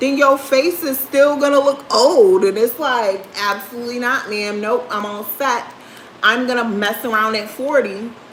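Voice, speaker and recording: A woman speaks at a high pitch with ordinary pitch variation. Audible room echo and noticeable background noise surround her. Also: moderate pace. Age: 30s. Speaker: livestreamer. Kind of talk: casual chat. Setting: livestream.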